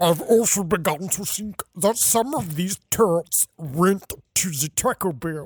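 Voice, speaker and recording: Pitched in the middle range, this voice is a put-on character voice. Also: fairly slow pace. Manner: mock.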